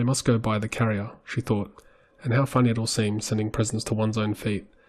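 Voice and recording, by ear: The speaker is reading aloud in a natural voice. The delivery is plain and unadorned.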